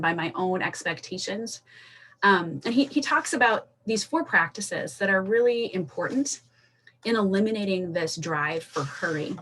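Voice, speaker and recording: A woman with an energetic tone and lively intonation talks at a moderate pace and a medium pitch. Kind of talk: casual talk to camera.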